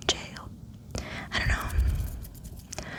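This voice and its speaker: A woman whispering in a relaxed tone over noticeable background noise. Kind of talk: ASMR ranting monologue, casual talk. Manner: whispered, relaxed.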